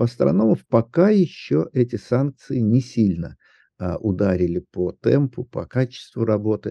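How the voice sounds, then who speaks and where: A man speaks in an ordinary speaking voice with medium pitch. His intonation is lively and his pace fairly slow. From Southern Urals, Russia. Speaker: astronomer and science popularizer. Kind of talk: interview.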